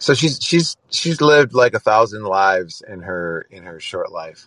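With an American accent, a man talks at a moderate speed. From small-town Wisconsin, US Midwest. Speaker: pop musician. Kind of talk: casual interview. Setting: call-in app. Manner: hesitant, with fillers.

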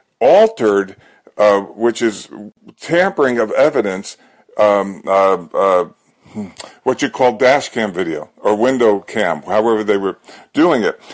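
Lively intonation marks this man's speech, which sits at a medium pitch. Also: long, frequent pauses. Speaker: caller. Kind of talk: casual chat.

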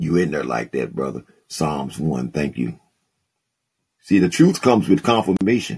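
A man with a very deep, low voice and vocal fry speaks at a moderate pace, swinging very widely in pitch and leaving long, frequent pauses. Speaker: podcast host and preacher. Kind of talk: live call-in Bible teaching and preaching. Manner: warm, fervent, animated preacher cadence with call-and-response amens.

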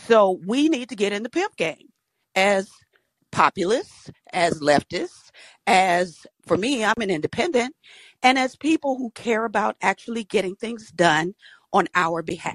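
Speaking with an American accent, a woman of medium pitch has an ordinary speaking voice and lively intonation, in a dry, close sound with no echo. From Georgia, US South. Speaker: caller. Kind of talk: call-in show.

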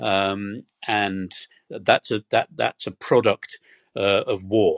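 In a British accent, a man speaks at a very slow pace with a fairly low voice. The sound is dry and close with no echo, against a quiet background. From Britain. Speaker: historian and energy researcher. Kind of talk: interview. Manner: hesitant, many fillers.

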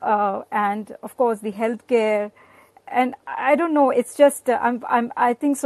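A woman with an Indian accent speaks in a high pitch with lively intonation at a fairly slow pace, the sound dry and close with no echo. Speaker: guest, spouse of a host. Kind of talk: casual chat.

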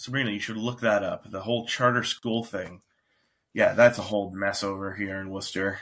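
Delivering his words in a monotone, flat intonation, a man with fairly low pitch talks at a fairly quick pace. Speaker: local political candidate. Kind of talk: casual chat. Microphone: new device.

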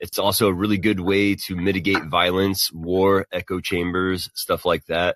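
A man with an American accent speaks at a very deep, low pitch in a monotone, flat intonation. The sound is dry and close, with no echo. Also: moderate pace. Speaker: caller.

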